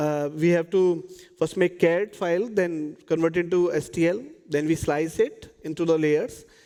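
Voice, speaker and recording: This man's high voice has a dark, mellow tone, moving at a moderate pace with fairly even intonation. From India. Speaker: PhD student presenting research. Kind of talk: conference talk. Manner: hesitant, many fillers.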